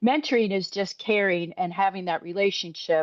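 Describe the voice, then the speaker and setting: A woman's medium-pitched voice, fairly quick in pace, with ordinary pitch variation. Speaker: interest group co-lead. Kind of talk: video conference presentation.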